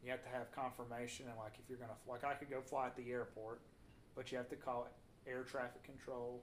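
The speech comes in a Southern US accent. Its intonation is monotone and flat. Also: man, medium pitch for a man. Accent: Southern US (Georgia). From US South (north Georgia). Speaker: podcast host, agriculture. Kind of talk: casual chat. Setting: living room recording.

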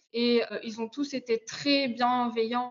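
A woman with a high-pitched voice talks at a fairly slow pace with fairly even intonation. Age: 20s. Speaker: postdoctoral chemist. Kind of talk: interview.

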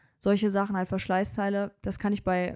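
Flat, monotone intonation and a dark, mellow tone come at a moderate pace in a very clean recording with a silent background. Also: woman, dry, close sound with no echo. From Germany, Bonn area. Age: 20s. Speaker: car enthusiast, car dealership employee. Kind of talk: casual chat.

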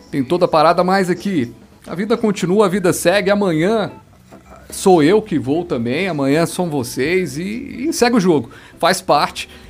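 A man talks high in pitch, and his intonation is lively. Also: moderate pace. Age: 30s. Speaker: podcast host. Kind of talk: casual chat.

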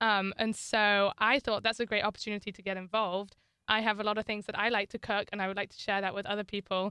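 Very fast and with a northern English accent, a woman talks at a medium pitch in a monotone, flat intonation, her tone bright and sharp, in a dry, close sound with no echo on a very clean recording with a silent background. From northern England. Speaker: student athlete. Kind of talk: interview.

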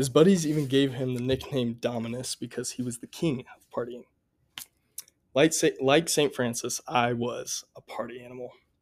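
A man talks in a Midwestern American accent at a medium pitch. His pace is moderate, and his loudness swings widely. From US Midwest, Columbia, Missouri. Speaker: college student. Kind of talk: testimony.

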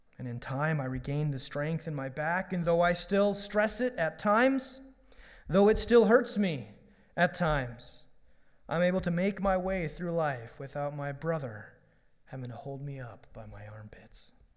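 Very wide pitch swings and big swings in loudness at a moderate pace, with audible room echo. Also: man. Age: 30s. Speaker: pastor. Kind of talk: sermon.

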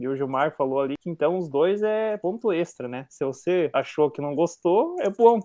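A man has a dark, mellow tone and a high pitch, with lively intonation. He moves at a moderate pace in a dry, close sound with no echo. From southern Brazil (Paraná). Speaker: agronomy student. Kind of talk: casual chat.

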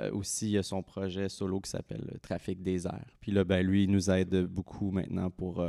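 A man's very deep, low pitch and dark, mellow tone, monotone and flat, at a moderate pace, on a very clean recording with a silent background. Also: dry, close sound with no echo. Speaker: musician in a band. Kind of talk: casual interview.

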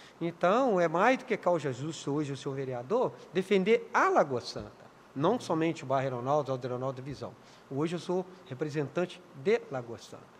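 A man speaks in a normal speaking voice at a fairly high pitch and a moderate pace. His intonation is lively, with big swings in loudness. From Minas Gerais, Brazil (Contagem). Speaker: city councillor and community leader. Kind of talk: interview.

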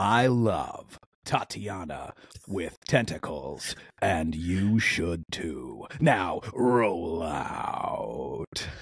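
A man talks in a put-on character voice with a fairly low pitch. His pace is very slow. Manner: solemn, heroic.

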